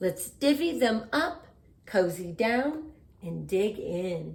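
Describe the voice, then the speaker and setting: Speaking at a very slow pace, a woman uses a put-on character voice. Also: fairly high pitch for a woman. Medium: read story. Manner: warm, eager.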